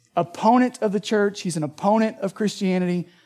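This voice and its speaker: Music sounds in the background. Over it, a man talks. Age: 30s. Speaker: pastor. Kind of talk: sermon. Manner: casual, conversational.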